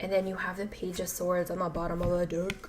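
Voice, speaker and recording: Doing a put-on character voice, a woman rattles off words at a very fast pace in a raspy, medium-pitched, monotone, flat delivery over light background noise. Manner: announcement-like, announcer delivery.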